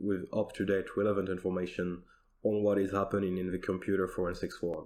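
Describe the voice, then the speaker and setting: A man with a non-native accent talks at a fairly quick pace in a monotone, flat delivery, recorded very cleanly against a silent background. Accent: non-native accent, noticeable. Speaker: software developer. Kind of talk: recorded conference demo.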